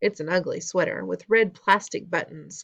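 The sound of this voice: Here, an unforced reading voice carries the words.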